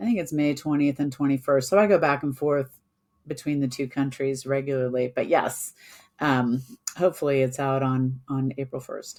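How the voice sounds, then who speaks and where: On a very clean recording with a silent background, a woman with a very deep, low voice speaks at a moderate pace and a fairly even intonation. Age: 60s. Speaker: construction executive and author. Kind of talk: interview.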